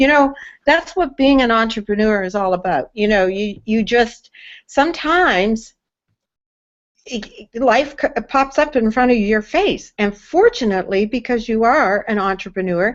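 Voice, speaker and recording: The delivery runs at a fairly slow pace. Its intonation is lively. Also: woman, fairly high pitch for a woman. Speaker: online hangout host. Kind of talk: live video chat. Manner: halting, with fillers.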